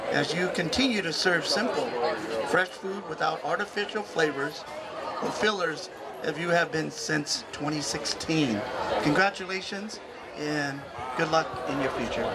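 The pace is moderate, with long, frequent pauses. Crowd noise carries in the background. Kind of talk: ceremonial speech. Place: street. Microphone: handheld.

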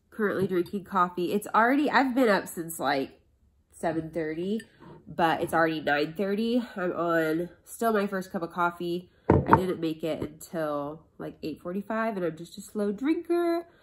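A woman at a fairly slow pace, ordinary pitch variation, over loud background noise. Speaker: vlogger. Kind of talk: casual vlog chat. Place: home room. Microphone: phone near.

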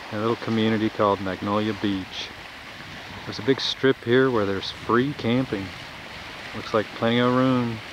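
There is noticeable background noise, though the sound itself is dry with no echo. A man speaks at a moderate pace with fairly even intonation. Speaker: travel vlogger. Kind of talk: casual vlog narration. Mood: calm, relaxed. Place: beach.

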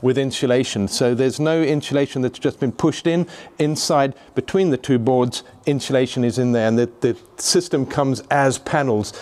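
The pace is fairly quick. The pitch varies in an ordinary way. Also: man. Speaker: presenter. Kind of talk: tutorial. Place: hall. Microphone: phone near.

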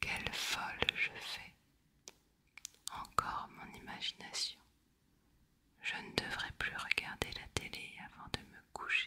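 Long, frequent pauses break up whispering delivered at a very slow pace. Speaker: ASMR reader. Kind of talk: ASMR reading of a novel excerpt. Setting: close microphone recording. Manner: whispered, soft. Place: home room. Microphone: studio mic.

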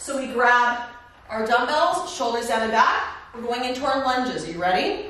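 Raising and projecting her high-pitched voice, a woman with an American accent speaks at a moderate pace in an upbeat, energetic tone, with strong room echo around her. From California. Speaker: fitness instructor. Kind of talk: guided workout instruction, cueing exercises over the routine. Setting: home workout filmed in San Diego. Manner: upbeat, encouraging, energetic coach cueing moves. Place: home room.

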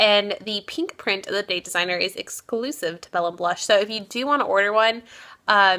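A woman of medium pitch speaks at a moderate pace in a bright, sharp tone, her loudness swinging widely. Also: ordinary pitch variation. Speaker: beauty vlogger; vlogger. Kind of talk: casual vlog talk. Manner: mumbling. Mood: amused, chatty. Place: home room. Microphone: phone near.

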